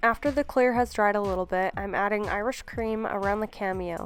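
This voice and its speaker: Music is playing behind the speaker. She is a woman talking at a medium pitch. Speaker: nail technician. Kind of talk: tutorial voice-over.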